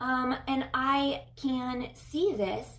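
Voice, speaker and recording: A woman with an American accent amid audible room echo. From USA. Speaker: chiropractor and online coach. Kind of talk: live video talk. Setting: live stream. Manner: hesitant, many filler ums.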